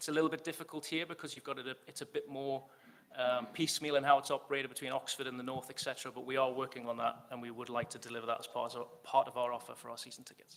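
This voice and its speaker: In a Geordie accent, a man rattles along at a very fast pace and medium pitch, with fairly even intonation but big swings in loudness. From northern England, Newcastle. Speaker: football club executive. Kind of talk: fan forum Q&A.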